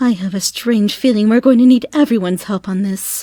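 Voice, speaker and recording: A female-sounding voice puts on a character voice at a fairly high pitch and a fairly quick pace, in a very clean recording with a silent background. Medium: read story. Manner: refined, proper.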